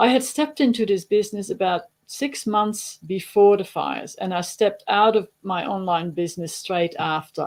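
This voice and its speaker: A woman's medium-pitched voice with a Dutch accent, at a fairly slow pace with ordinary pitch variation. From Netherlands. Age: 60s. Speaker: digital marketer and farmer. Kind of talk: webinar presentation. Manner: casual with fillers.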